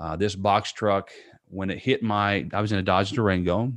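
The accent is American. Intonation stays fairly even. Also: man, quiet background. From Indiana, US Midwest. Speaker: motivational speaker and author, burn survivor. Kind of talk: testimony.

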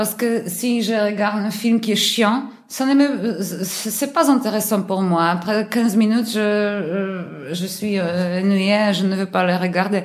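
At a very slow pace with hardly any pauses, a woman talks at a medium pitch with ordinary pitch variation, amid noticeable background noise and audible room echo. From Poland, Warsaw. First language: Polish (speaking French). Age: 30s. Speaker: air traffic controller, language learner. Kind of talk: interview. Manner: halting, frequent repetitions.

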